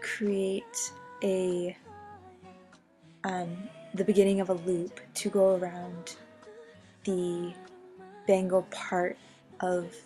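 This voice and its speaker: Over music in the background, a woman with a medium pitch and an upbeat tone speaks at a very slow pace with long, frequent pauses. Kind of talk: craft tutorial narration. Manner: casual, upbeat.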